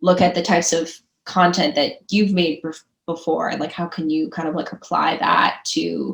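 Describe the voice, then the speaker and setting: A woman's fairly low voice with vocal fry, an American accent and a moderate pace. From US Midwest, Chicago suburbs. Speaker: entrepreneur. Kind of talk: podcast interview. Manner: casual, many filler words.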